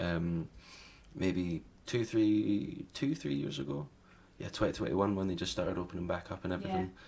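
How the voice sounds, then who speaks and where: A man with a Scottish accent and a very deep, low pitch speaks at a moderate pace with lively intonation. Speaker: singer-songwriter. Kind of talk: interview answer. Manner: casual, conversational.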